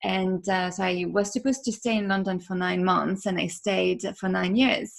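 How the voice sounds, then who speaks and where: With a French accent, a woman talks at medium pitch. Her pace is moderate, and her pitch varies in an ordinary way. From France. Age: 30s. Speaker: podcaster. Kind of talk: interview.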